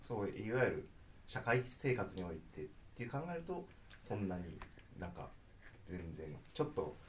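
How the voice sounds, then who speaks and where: This man's voice is fairly low and somewhat breathy, with very wide pitch swings at a moderate pace. He takes long, frequent pauses, and the room echo is audible. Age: 40s. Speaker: advice seeker. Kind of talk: casual chat.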